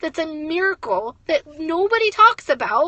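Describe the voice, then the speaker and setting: A woman speaks loud, with an animated tone and lively intonation. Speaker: network marketing leader. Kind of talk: motivational livestream talk. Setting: in a car, livestream.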